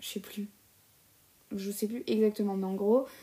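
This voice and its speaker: A woman speaks at a fairly high pitch. Her tone is dark and mellow, with fairly even intonation. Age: 20s. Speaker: solo podcaster. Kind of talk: casual monologue. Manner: hesitant, many fillers.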